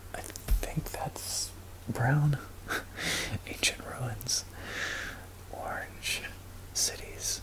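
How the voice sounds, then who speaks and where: Someone whispers at a very slow pace, with long, frequent pauses and noticeable background noise. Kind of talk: casual talk to camera, showing a map. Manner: soft-spoken, whispered.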